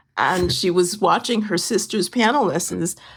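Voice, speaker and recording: The speaker uses vocal fry and keeps a moderate pace. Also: woman. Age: 80s+. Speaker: piano teacher. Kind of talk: casual chat. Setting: video call.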